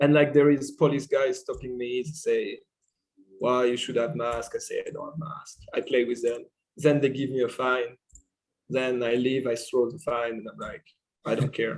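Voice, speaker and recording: Speaking with a French accent at a medium pitch, a man keeps a moderate pace and fairly even intonation, though his loudness swings widely. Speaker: podcast guest. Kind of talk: casual chat.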